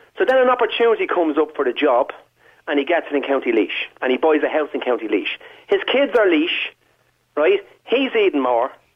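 A man in a Dublin accent talks at a fairly quick pace. His loudness stays very even. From Dublin, Ireland (working class). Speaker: caller. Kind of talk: phone-in call. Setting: phone call.

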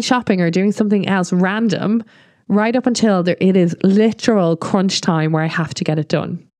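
With an Irish accent, a woman of medium pitch speaks at a moderate pace and ordinary pitch variation, the background quiet and the sound dry and close with no echo. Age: 30s. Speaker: podcast host, marketing consultant and business mentor. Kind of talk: personal monologue.

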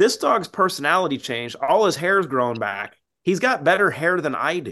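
Over a quiet background, a man talks at a fairly quick pace with lively intonation. It is a plain, everyday voice. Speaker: supplement company co-founder. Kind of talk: casual interview chat.

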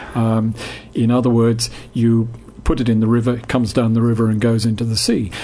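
In a room with audible echo and noticeable background noise, a man speaks fairly quickly in a monotone, flat way at medium pitch. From England. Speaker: marine science professor. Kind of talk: radio interview.

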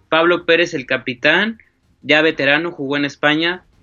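A man speaks in a normal speaking voice at a moderate pace, his intonation fairly even. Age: 20s. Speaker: sports journalist. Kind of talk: casual chat.

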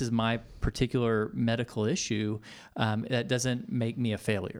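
An ordinary speaking voice with an American accent moves at a moderate pace on a very clean recording, silent background. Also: man. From Texas, Tomball. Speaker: pastor. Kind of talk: interview.

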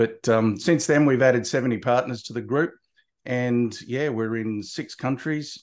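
A man with an Australian accent speaks at a moderate pace and a medium pitch. His pitch varies in an ordinary way over a quiet background. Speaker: marketing consultant and author. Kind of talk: casual interview.

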